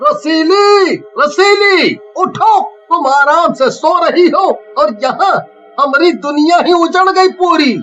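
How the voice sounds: A man performs a cartoonish character voice. He speaks very slowly.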